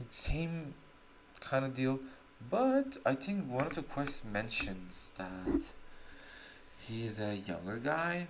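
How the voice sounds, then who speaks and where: Someone speaks with a non-native accent. The pace is very slow, with long, frequent pauses. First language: not English. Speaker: gaming streamer. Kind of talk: gameplay commentary. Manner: casual, halting with self-corrections.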